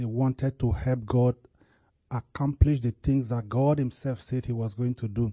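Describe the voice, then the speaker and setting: Somewhat breathy, a man talks at a moderate pace. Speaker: church member closing the service. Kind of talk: closing remarks and reading prayer reports. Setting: church. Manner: halting.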